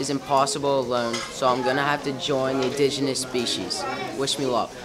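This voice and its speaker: A man talks at a fairly quick pace with crowd noise in the background. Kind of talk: mock documentary narration. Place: kitchen. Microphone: phone near.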